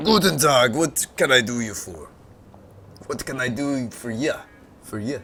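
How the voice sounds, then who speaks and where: Putting on a gruff character voice in a German accent, a man speaks at a moderate pace and medium pitch with lively intonation and long, frequent pauses. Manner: gruff but well-meaning.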